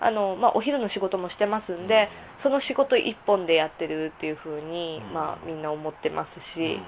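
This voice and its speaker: With an unremarkable speaking voice pitched fairly low, a woman talks fairly quickly, her intonation lively and her loudness swinging widely. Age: 20s. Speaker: escort and part-time entertainer. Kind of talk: casual interview.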